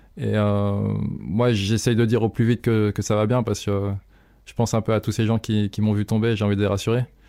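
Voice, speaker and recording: A man with a fairly low pitch, a dark, mellow tone, a fairly quick pace and monotone, flat intonation. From eastern France, near Evian (Haute-Savoie). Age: 20s. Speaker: professional freeride mountain biker. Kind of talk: interview testimony. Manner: halting, many repetitions and fillers.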